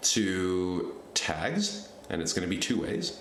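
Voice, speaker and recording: A man with audible room echo and light background noise. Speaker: software tutorial creator. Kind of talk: screen-recorded tutorial. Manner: casual, thinking aloud. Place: home room.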